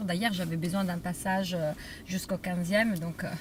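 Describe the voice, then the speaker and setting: An animated woman's voice with a slight Italian accent and ordinary pitch variation. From Italy, Rome. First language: Italian (speaking French). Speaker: journalist and food writer. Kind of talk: casual interview. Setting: in a car.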